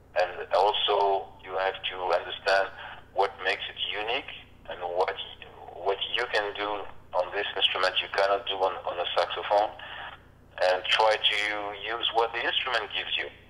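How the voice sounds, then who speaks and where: A man with a French accent and a fairly low pitch speaks in a monotone, flat way at a moderate pace with long, frequent pauses, over noticeable background noise. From Reunion Island. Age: 50s. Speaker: harmonica player. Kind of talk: interview. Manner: halting.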